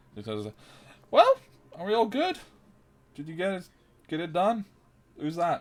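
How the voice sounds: A man performs a put-on character voice that is squeaky and high-pitched, with very wide pitch swings and big swings in loudness. His voice is raised and projected at a moderate pace, broken by long, frequent pauses.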